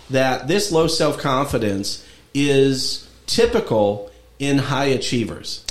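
With audible room echo and noticeable background noise, a man speaks at a fairly high pitch with lively intonation. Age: 50s. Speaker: podcast host and lawyer. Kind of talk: casual interview chat.

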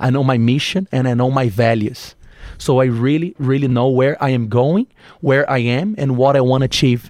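A man talks at a medium pitch. His pitch variation is ordinary. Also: dry, close sound with no echo. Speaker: entrepreneur. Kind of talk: casual chat. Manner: animated.

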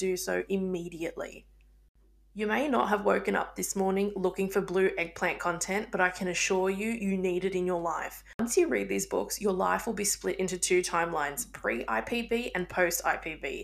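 A woman with an Australian accent talks at a moderate pace. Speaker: podcast host and book reviewer. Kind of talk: scripted-sounding casual podcast intro.

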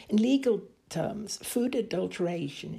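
Here a woman speaks in a dark, mellow tone. Vocal fry runs through her voice. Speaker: interviewer, podcast team member. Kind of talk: interview with scripted narration. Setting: on location at a farm.

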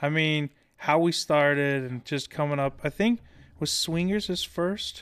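A man with a normal speaking voice talks at a fairly high pitch. His pace is fairly slow, with ordinary pitch variation. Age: 30s. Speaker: rock musician. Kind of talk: casual chat. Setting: detailing shop podcast setup.

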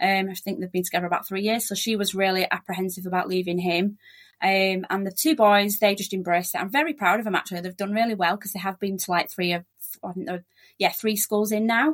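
Pitch rises and falls in an ordinary way. The words come out very fast. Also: woman, medium pitch for a woman. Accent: strong Yorkshire. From Yorkshire, England. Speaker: relocation agent, migrant. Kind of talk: casual interview chat. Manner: fast talker.

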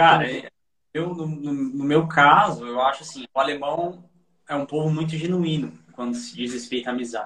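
Loudness swings widely in this bright, sharp voice, which moves at a moderate pace with ordinary pitch variation. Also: man, fairly high pitch for a man. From São Paulo / Osasco, Brazil. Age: 30s. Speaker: expat guest, IT worker. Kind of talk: casual interview chat.

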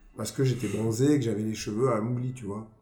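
A man at a fairly quick pace, with ordinary pitch variation and audible room echo. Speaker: blues rock singer. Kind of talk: casual chat.

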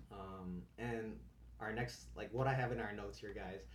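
In a room with audible echo, a man speaks at a moderate pace in a very deep, low voice with vocal fry and very wide pitch swings. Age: 20s. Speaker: podcast host, college student. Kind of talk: casual chat.

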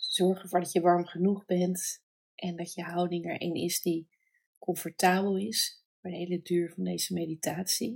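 Somewhat breathy and fairly low in pitch, a woman speaks fairly slowly in a monotone, flat intonation. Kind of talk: guided meditation. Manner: slow, soft and soothing, with long pauses; gentle, calm, warm.

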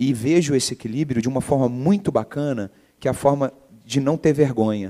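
This man speaks at a medium pitch with a dark, mellow tone and ordinary pitch variation. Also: very clean recording, silent background. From Brazil, Minas Gerais (Belo Horizonte). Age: 40s. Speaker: entrepreneur. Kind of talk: interview. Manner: halting.

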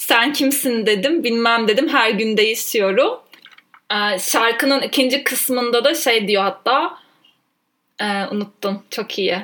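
A woman talks very slowly in a fairly high-pitched voice, her pitch varying in an ordinary way. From Turkey, Ankara. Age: 20s. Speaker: podcast co-host, trainee lawyer. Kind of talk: casual chat.

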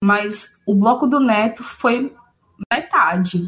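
A woman's fairly high, somewhat breathy voice with ordinary pitch variation. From Aracaju, Sergipe, Brazil. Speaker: music fan guest. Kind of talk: casual conversation podcast. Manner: frequent fillers like né.

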